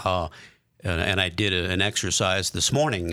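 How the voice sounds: A man's low-pitched voice, fairly bright in tone, at a moderate pace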